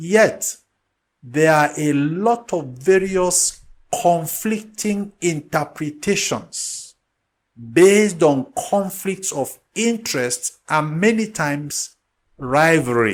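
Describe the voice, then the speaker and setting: Intonation lively, a man speaks at a very slow pace. His pitch is high. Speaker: spiritual teacher. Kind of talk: lecture. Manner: unhurried.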